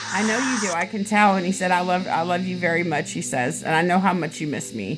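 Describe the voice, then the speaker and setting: A woman's fairly low voice in an American accent at a very fast pace, with ordinary pitch variation and music in the background. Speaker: psychic medium doing live readings. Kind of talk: live-stream psychic reading with a caller. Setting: live stream with a viewer joining live. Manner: casual, hesitant with many fillers; animated, exclamatory.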